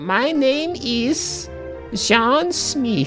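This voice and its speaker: Over clear music in the background, a female-sounding voice does a put-on character voice at a fairly high pitch. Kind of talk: posh.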